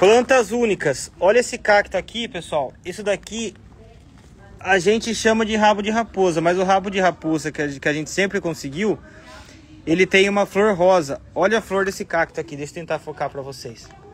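A man speaks at a high pitch with ordinary pitch variation. The sound is dry, with no echo. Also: moderate pace. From Brazil. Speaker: succulent shop owner and channel host. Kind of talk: live plant showcase for followers. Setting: plant shop. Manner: animated. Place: garden. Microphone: phone near.

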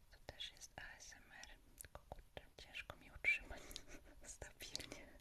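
Whispering comes from a woman. She goes at a very slow pace. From Poland. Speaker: ASMR creator. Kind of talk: casual talk to camera, live stream chat. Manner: soft-spoken, whispering. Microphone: studio mic.

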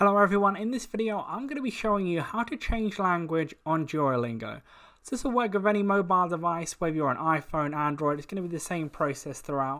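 The speech comes at a very fast pace in an English accent. The recording is very clean, with a silent background. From England. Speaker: tutorial video narrator. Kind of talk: tutorial. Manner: casual with frequent fillers.

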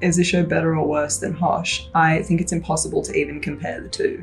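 With music playing behind her, a woman speaks at a fairly quick pace. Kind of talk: casual vlog Q&A. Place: office. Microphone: phone near.

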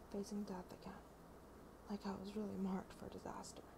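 At a moderate pace, a woman speaks in a whisper. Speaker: ASMR creator. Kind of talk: ASMR reading of a novel preface. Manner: whispered, soft. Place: home room. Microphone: earbuds.

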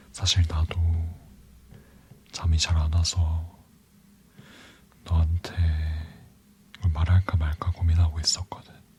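Soft-spoken, calm speech with monotone, flat intonation, a very slow pace, and long, frequent pauses over noticeable background noise. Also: man, very deep, low pitch for a man. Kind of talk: ASMR boyfriend roleplay.

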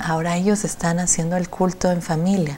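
A woman's voice over light background noise. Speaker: hospital administrator; TV guest. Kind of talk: interview. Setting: studio. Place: studio. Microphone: lapel.

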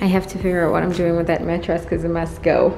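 A woman's voice comes with clear music in the background. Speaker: mom vlogger. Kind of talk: casual vlog chat. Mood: nostalgic, upbeat. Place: empty room. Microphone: phone near.

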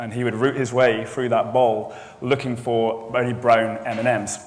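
The speaker is male. His pitch moves only a little. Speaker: conference speaker. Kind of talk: conference talk, storytelling. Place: hall.

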